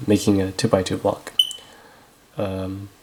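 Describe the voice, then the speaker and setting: Speech comes at a fairly slow pace, with noticeable background noise present. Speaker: speedcubing tutorial youtuber. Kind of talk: tutorial. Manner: hesitant, many fillers.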